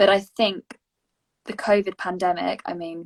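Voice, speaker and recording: Here is a woman with an English accent. Her pitch sits in the medium range. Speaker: youth education project member hosting session. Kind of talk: casual panel discussion.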